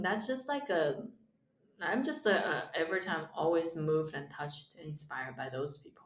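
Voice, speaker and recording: A woman with a Chinese accent talks fairly quickly in a very deep, low voice, with audible room echo. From China. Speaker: stand-up comedian. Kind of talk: casual chat. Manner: halting.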